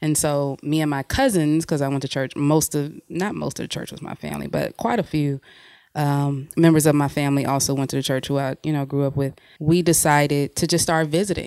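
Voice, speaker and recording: With an American accent, a woman talks at a fairly quick pace in a very deep, low pitch and a dark, mellow tone. Her intonation is fairly even, and the very clean recording has a silent background. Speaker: writer and podcast co-host. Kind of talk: casual chat.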